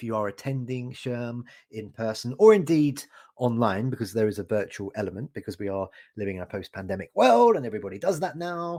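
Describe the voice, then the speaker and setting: Medium-pitched male speech in a British accent, dark and mellow in tone, at a fairly quick pace, on a very clean recording with a silent background. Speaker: podcast host. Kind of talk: casual chat. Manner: hesitant, many fillers.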